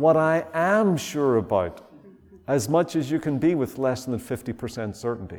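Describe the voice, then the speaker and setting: A man with a Northern Irish accent, fairly high in pitch, slow-ish in pace and lively in intonation. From Northern Ireland. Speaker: visiting preacher. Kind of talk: sermon. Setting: church.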